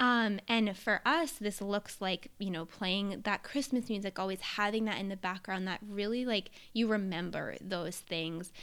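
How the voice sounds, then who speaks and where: On a very clean recording with a silent background, a woman in an ordinary speaking voice talks at a fairly slow pace with hardly any pauses, medium pitch and ordinary pitch variation. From US Northeast, New Hampshire. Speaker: podcast co-host, entrepreneur. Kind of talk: casual chat. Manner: casual, filler-heavy.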